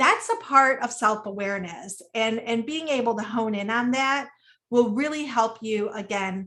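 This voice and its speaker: The tone is bright and sharp. It comes across loud. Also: woman, fairly high pitch for a woman, ordinary pitch variation, moderate pace. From United States, Sicilian-American family. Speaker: webinar speaker, women's wellness educator. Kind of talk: webinar talk. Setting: online webinar. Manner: naturally loud; conversational with frequent fillers.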